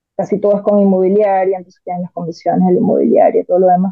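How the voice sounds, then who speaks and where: Her pitch medium, a woman speaks in a monotone, flat intonation. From Venezuela. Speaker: arts graduate working in press communications. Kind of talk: casual chat.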